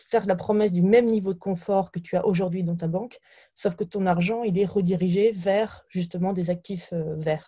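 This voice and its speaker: On a very clean recording with a silent background, a woman speaks at a moderate pace with a medium pitch, fairly even intonation and a dark, mellow, somewhat breathy tone. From France, Burgundy countryside. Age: 20s. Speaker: startup founder. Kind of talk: interview. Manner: halting, repeats words.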